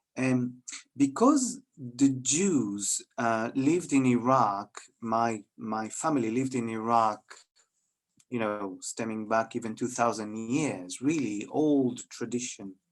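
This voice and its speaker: At a very slow pace, a man speaks at a medium pitch with ordinary pitch variation while music plays in the background. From Israel. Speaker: head teacher. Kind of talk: talk at interfaith event. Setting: video call. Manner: halting.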